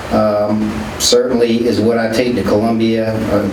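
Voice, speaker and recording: A man with a Southern US accent speaks at medium pitch in a monotone, flat delivery. Audible room echo and noticeable background noise are present. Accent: Southern country accent, noticeable. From US South, rural South Carolina (Calhoun County). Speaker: politician. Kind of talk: radio interview. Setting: radio station. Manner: casual, folksy.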